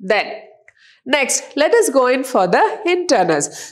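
At a moderate pace, a woman with a high pitch talks with very wide pitch swings. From India. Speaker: college lecturer. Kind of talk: lecture. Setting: recorded online class video.

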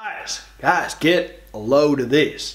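Behind this male speaker, the background stays quiet. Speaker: actor in comedic monologue. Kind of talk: acted comedic monologue. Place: studio.

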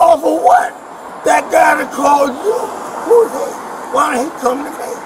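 Noticeable background noise surrounds a man with an American accent whose pitch is extremely high. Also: moderate pace. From New York. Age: 70s. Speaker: detained civilian. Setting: outdoors. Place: street. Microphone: camera far.

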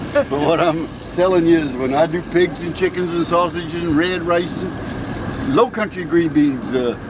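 There is noticeable background noise as a man talks in a high voice with ordinary pitch variation. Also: moderate pace. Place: street. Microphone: phone near.

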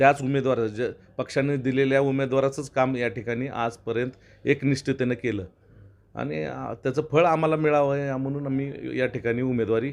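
A man talks at a medium pitch in a plain, everyday voice. His intonation is fairly even, and the background is quiet. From Maharashtra, Tuljapur (Marathwada). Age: 40s. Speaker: politician and lawyer. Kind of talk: interview.

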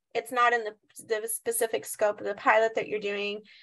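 Here a woman talks at a moderate speed. She has an American accent. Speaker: behavioral health clinic worker. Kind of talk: discussion comment. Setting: video call.

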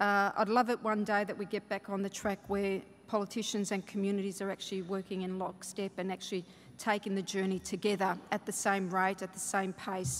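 In an Australian accent, a woman talks at a fairly quick pace. Her intonation stays monotone and flat over light background noise. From Australia, Melbourne (Fawkner). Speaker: state government minister. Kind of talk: conference keynote speech. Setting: stage with audience. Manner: halting, with many fillers. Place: hall. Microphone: podium.

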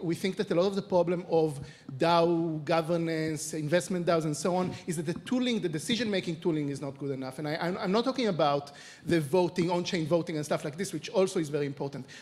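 A man speaks fairly quickly with an Israeli accent. His pitch is high, with ordinary variation. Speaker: venture capital investor; panelist. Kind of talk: panel discussion. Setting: stage with audience. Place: stage. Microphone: handheld.

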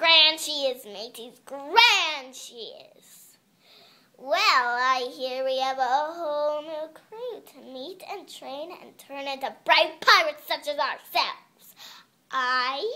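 Someone does a high-pitched, put-on character voice at a fairly slow pace. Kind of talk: audition read.

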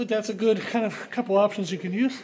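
Over noticeable background noise, a man with a high pitch talks at a fairly quick pace. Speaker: strength coach. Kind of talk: tutorial. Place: gym. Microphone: phone near.

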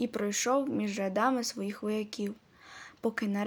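Text read aloud, plainly.

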